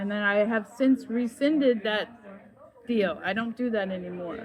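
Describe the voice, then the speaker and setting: With crowd noise in the background, a woman speaks at a moderate pace with a fairly high pitch and ordinary pitch variation. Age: 60s. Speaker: spiritual vlogger. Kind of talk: personal testimony monologue. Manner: halting, with repetitions.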